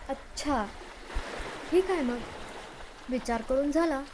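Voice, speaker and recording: Noticeable background noise runs beneath a high-pitched woman's voice. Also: ordinary pitch variation. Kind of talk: scripted romantic dialogue voiceover. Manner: playful, teasing.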